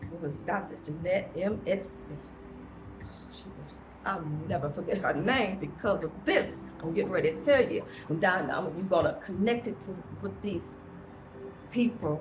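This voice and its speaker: Amid noticeable background noise and audible room echo, a woman with a medium pitch talks at a moderate pace in an animated tone, her pitch varying normally, her loudness swinging widely and long pauses coming often. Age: 70s. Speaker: vlogger. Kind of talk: personal monologue.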